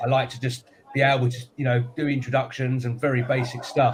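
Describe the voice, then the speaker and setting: A man's medium-pitched voice moves at a moderate pace, with noticeable background noise behind it. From UK. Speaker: business show co-host. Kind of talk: live panel chat. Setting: live stream studio.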